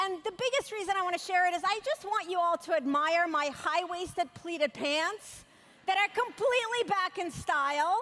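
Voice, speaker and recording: In a raised, projected voice of extremely high pitch, a woman speaks at a moderate pace with a bright, sharp tone, lively intonation and very even loudness. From former Soviet Union, moved to US at 13. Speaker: motivational speaker. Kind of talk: keynote speech. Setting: stage with large audience. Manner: animated.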